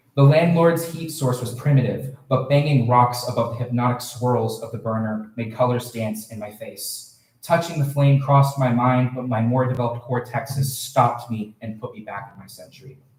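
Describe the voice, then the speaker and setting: At a moderate pace and with hardly a pause, a man speaks in a fairly even tone while his loudness swings widely. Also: medium pitch for a man. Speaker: student poet. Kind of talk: poetry reading.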